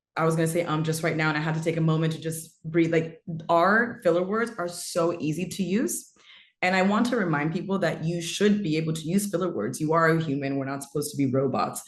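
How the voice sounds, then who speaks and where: Someone talks at a very fast pace in an American accent. The pitch variation is ordinary. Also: woman, fairly low pitch for a woman. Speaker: storyteller and marketing strategist. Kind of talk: webinar talk.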